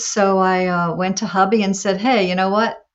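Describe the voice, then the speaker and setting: An ordinary speaking voice at a moderate pace. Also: woman. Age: 60s. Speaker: adult performer. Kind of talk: interview.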